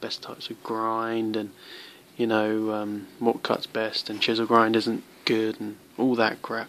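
A man with a British accent talks at a fairly slow pace. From UK. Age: young. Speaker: knife reviewer. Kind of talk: product review. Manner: halting. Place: home room. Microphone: phone near.

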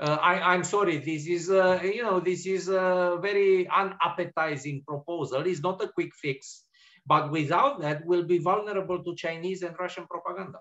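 With a Romanian accent, this speaker talks at a moderate pace with ordinary pitch variation against a quiet background. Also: man. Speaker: policy analyst. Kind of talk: panel discussion. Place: home room.

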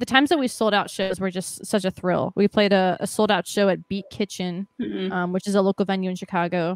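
An ordinary speaking voice goes at a fairly quick pace against a quiet background, the sound dry with no echo. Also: woman. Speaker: band drummer; guest. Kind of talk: casual chat. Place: home room. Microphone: studio mic.

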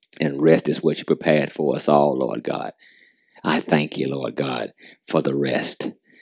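Very deep and low with vocal fry, this man's voice holds a fairly even intonation in a dry, close sound with no echo. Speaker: prayer leader. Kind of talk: fervent prayer. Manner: fervent, rhythmic, repetitive cadence.

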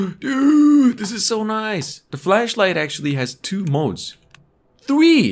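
The background is quiet as a man speaks at a very slow pace. His pitch swings very widely. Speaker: gaming streamer. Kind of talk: casual gameplay commentary.

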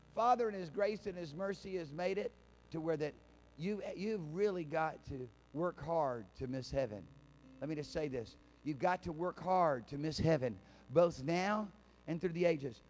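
Speaking at a moderate pace, a man leaves long, frequent pauses. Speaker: pastor. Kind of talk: sermon. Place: church. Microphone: handheld.

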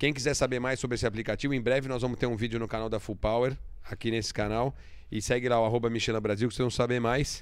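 A man talks at a very fast pace in an animated tone. The background is quiet. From Brazil. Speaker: automotive show host. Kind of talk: casual chat. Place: studio. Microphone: studio mic.

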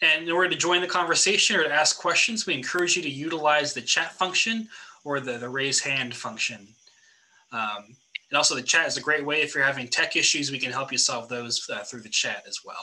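A man with an American accent speaks in a normal speaking voice at a fairly quick pace, his fairly high pitch moving with ordinary variation while his loudness swings widely. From Oregon, US. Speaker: pastor and event moderator. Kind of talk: moderating a panel event. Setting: video call. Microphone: video call.

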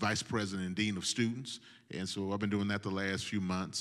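Against a quiet background, a man with a fairly low pitch talks at a moderate pace with fairly even intonation. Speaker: guest, pastor. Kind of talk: interview answer. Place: church. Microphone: handheld.

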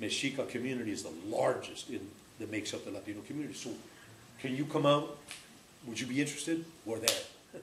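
Delivered at a very fast pace with ordinary pitch variation, the speech carries audible room echo and light background noise. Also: man. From Mexico, raised in California. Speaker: community radio founder and host. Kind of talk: storytelling speech to a live audience. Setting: live event with audience. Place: home room. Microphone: camera far.

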